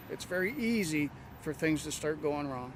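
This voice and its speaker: At a moderate pace, a man with a normal speaking voice talks in a fairly high pitch. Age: 60s. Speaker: bus driver. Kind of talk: interview.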